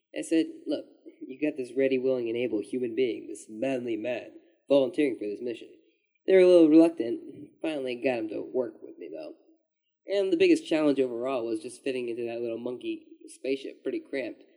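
A man talks at a fairly quick pace, with big swings in loudness. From Europe. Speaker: former podcast co-host. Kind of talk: comedic banter. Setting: archive recording played from PC speakers.

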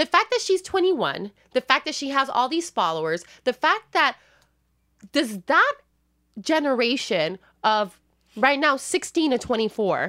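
The speaker uses a raised, projected voice with a bright, sharp tone and very wide pitch swings, moving at a fairly slow pace with long, frequent pauses in a dry, close sound with no echo. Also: woman, high pitch for a woman. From Puerto Rico. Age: 30s. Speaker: podcast host. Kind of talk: casual chat.

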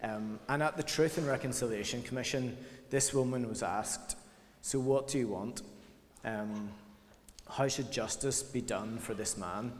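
There is audible room echo as a man speaks at a medium pitch with fairly even intonation and long, frequent pauses. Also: moderate pace. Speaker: church leader. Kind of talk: sermon.

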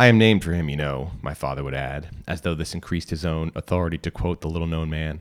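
A man's very deep, low voice, very fast with hardly any pauses, dramatic in tone with ordinary pitch variation, in a dry, close sound with no echo. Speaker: podcast reader and narrator. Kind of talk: literary audiobook reading, scripted fiction narration. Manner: measured, formal, dramatic storyteller's cadence.

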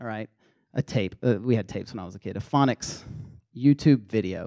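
A man's very fast speech with a slight Southern US accent, dry and close with no echo. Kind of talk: sermon-style talk to students. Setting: live in front of a room audience. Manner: casual, conversational.

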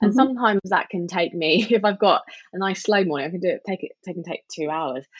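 Speaking very fast in a London accent, a woman talks at a medium pitch. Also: ordinary pitch variation. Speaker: meditation teacher. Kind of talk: casual interview chat; guided meditation.

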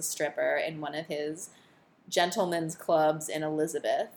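Speaking in an American accent, a woman with a plain, everyday voice talks at a moderate pace and fairly low pitch. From northern New Jersey (Morristown). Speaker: podcast co-host, social scientist. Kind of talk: casual chat.

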